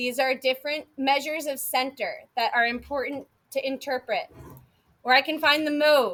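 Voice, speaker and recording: Raising and projecting her voice, a woman speaks at a moderate pace with a high pitch and a bright, sharp tone. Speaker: math teacher. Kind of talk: classroom lecture. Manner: animated.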